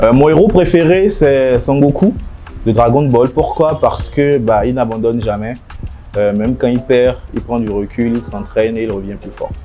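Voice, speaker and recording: Over music in the background, a man with a medium-pitched voice speaks at a moderate pace with lively intonation. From Benin. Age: 30s. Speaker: fashion entrepreneur. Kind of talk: interview monologue. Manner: hesitant, many fillers.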